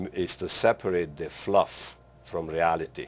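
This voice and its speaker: A man's very deep, low voice holds a fairly even intonation. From Romania. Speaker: plastic surgeon. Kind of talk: interview answers.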